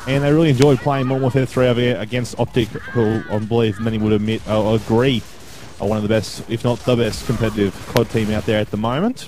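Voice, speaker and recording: Noticeable background noise is heard as a man talks at a very fast pace. His voice is medium in pitch, with fairly even intonation. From Australia. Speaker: esports commentator. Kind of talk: self-introduction video monologue.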